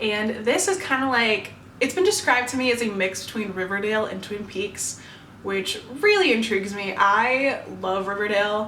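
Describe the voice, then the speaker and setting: Against noticeable background noise, a woman with an upbeat tone speaks at a fairly high pitch and moderate pace, with ordinary pitch variation. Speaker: BookTuber. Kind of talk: casual talk to camera. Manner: upbeat, chatty.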